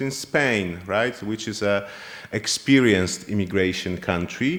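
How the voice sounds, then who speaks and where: A man with a Polish accent at a fairly slow pace. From Poland. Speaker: university lecturer. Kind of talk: lecture. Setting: classroom seminar with online students. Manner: halting.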